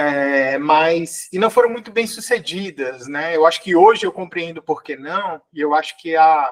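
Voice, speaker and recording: At a moderate pace, a man speaks with a fairly high pitch and ordinary pitch variation in a dry, close sound with no echo. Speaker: psychologist and lecturer. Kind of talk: podcast interview. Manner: halting, many fillers.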